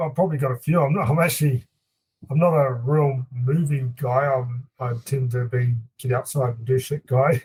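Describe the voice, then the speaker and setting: Speaking with a slight New Zealand accent, a man uses a medium pitch, a somewhat breathy voice, fairly even intonation, and a moderate pace. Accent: mild New Zealand. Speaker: hunting guide and outfitter. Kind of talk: casual chat.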